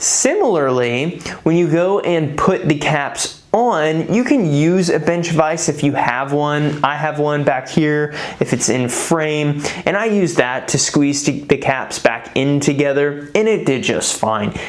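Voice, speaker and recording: A woman with a very deep, low pitch speaks at a fairly slow pace, with ordinary pitch variation and very even loudness. Audible room echo and noticeable background noise fill the recording. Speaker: DIY car maintenance youtuber. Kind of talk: tutorial.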